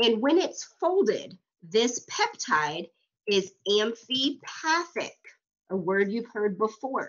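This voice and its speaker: At a very slow pace, a woman with a fairly high pitch talks. Her pitch swings very widely. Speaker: college instructor. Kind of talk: lecture.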